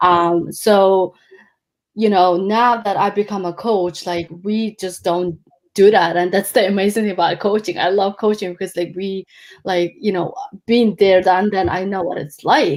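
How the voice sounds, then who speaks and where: The woman has a Mongolian accent and a medium pitch. She talks at a fairly slow pace with fairly even intonation. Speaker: life coach. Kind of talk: interview. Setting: live video stream. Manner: halting, many fillers.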